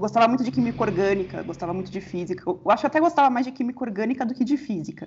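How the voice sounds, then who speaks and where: This woman's voice sits at a fairly high pitch and moves through very wide pitch swings. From São Paulo, Brazil. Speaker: astronomy researcher. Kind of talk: interview.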